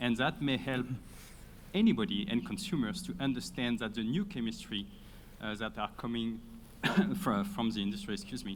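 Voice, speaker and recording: At a moderate pace, a man with a French accent and medium pitch makes very wide pitch swings, broken by long, frequent pauses. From France. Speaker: audience member. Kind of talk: question from the floor. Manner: halting.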